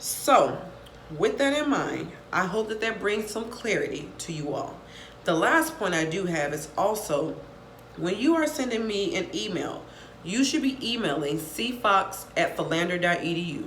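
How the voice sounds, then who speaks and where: A woman speaks at a medium pitch, her voice swinging very widely up and down. Noticeable background noise and audible room echo surround her. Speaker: college professor. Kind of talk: casual talk to students. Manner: fast.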